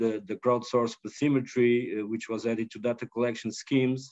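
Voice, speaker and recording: A man's fairly even intonation comes across over a quiet background. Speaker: research organisation board member; speaker. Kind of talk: closing remarks. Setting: video call. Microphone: video call.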